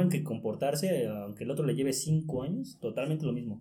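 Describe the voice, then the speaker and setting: The voice has a dark, mellow tone, lively intonation and a somewhat breathy quality. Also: man. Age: 20s. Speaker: journalism student and sports writer. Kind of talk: casual chat.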